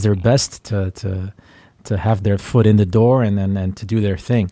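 A man's dark, mellow tone on a very clean recording with a silent background. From Flanders, Belgium. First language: Dutch (Flemish). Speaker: rock musician. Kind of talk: interview.

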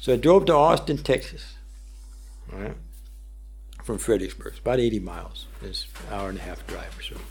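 A man talks at a fairly quick pace with big swings in loudness and long, frequent pauses. Audible room echo surrounds his voice. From US North, Pennsylvania-Ohio border. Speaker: war veteran and guitarist. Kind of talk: radio interview. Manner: halting.

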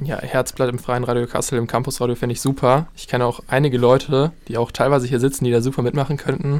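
A man of medium pitch at a very fast pace, monotone and flat, with hardly any pauses. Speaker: university student. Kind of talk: casual chat. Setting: radio studio.

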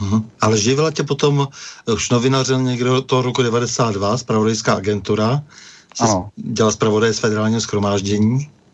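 A man speaks in an ordinary speaking voice at a medium pitch. His pace is moderate and his intonation fairly even. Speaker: radio host. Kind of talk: interview discussion. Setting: radio studio. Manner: formal.

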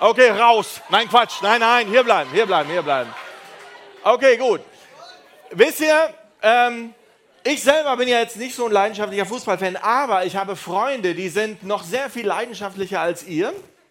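The speaker has an animated tone and lively intonation, broken by long, frequent pauses. Noticeable background noise sits behind the voice. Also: man, high pitch for a man, moderate pace. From Düsseldorf area, Germany. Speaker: youth preacher. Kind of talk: evangelistic talk. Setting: stage with audience.

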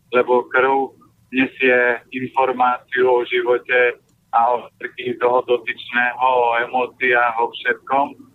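Speaking at a fairly slow pace, a man has a medium-pitched voice. His intonation is monotone and flat. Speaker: nutrition advisor. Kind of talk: advice interview. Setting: phone call from a car. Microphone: poor line, sounds like in a cellar.

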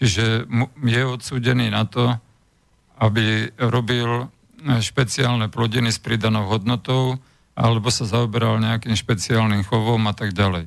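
This man has a plain, everyday voice pitched in the medium range. He talks fairly slowly, his intonation fairly even. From Slovakia. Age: 60s. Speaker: former agriculture minister. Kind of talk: radio interview. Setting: studio.

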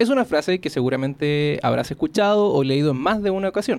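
This is a plain, everyday voice belonging to a man. His intonation is lively and his pace fairly quick. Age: 30s. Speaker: podcast host. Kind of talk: scripted narration; casual interview chat. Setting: studio.

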